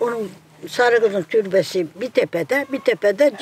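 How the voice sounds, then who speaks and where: Amid noticeable background noise, a woman with a fairly high pitch speaks at a moderate pace. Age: 80s+. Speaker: village elder. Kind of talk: casual chat.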